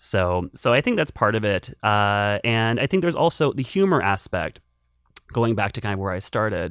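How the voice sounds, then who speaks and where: Recorded very cleanly against a silent background with a dry, close sound and no echo, a man with an unremarkable speaking voice talks at a moderate pace and fairly low pitch, with lively intonation. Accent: American. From western Pennsylvania, rural area south of Pittsburgh. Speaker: film critic. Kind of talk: casual interview.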